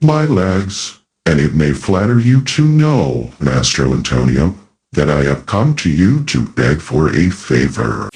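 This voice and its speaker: Putting on a character voice, a man speaks very deep and low with very wide pitch swings. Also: fairly slow pace. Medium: audio drama. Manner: surly.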